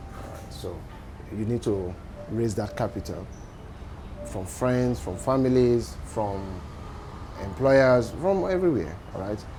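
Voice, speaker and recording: Male speech with noticeable background noise and audible echo from the room. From Nigeria. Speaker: entrepreneur. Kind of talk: interview.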